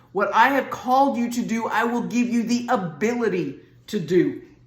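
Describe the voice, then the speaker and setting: Somewhat breathy, the voice speaks in a Southern US accent at a fairly slow pace. Its intonation is lively, and the room echo is audible. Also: woman. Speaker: Bible teacher. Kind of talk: sermon. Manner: casual, conversational.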